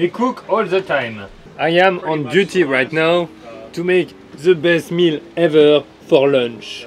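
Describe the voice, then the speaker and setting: Faint music plays in the background as a man speaks at a very slow pace. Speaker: vlogger. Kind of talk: casual vlog chat. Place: boat. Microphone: phone near.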